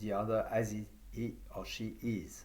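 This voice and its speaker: Vocal fry marks a man's voice in a French accent, with audible room echo. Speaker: yoga teacher. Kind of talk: lecture. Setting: video conference.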